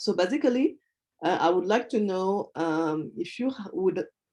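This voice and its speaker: In a French accent, a woman speaks at a fairly slow pace with a dark, mellow tone, medium pitch and lively intonation. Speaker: hub manager at a webinar. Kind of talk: webinar Q&A. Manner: halting, many fillers.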